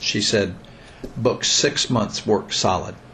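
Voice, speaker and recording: Male speech in an American accent, with noticeable noise behind it. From Missouri, US. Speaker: bluegrass musician and teacher. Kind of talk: casual interview conversation.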